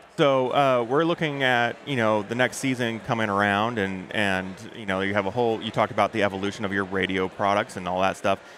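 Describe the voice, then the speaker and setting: This man has a normal speaking voice, fairly low in pitch, with ordinary pitch variation. He talks at a fairly quick pace with hardly any pauses, in dry sound with no echo and light background noise. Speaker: podcast host. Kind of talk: casual interview. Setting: trade show floor. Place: hall. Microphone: headset.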